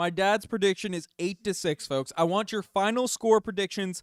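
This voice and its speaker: A man's high voice at a fairly slow pace, with ordinary pitch variation, in a very clean recording with a silent background and a dry, close sound with no echo. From Newfoundland, Canada. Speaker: sports live streamer. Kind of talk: live stream chat with viewers. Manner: animated.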